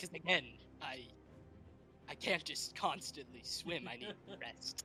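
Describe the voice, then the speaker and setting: A man speaks in a put-on character voice at a moderate pace. Background noise is clearly present. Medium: actual play.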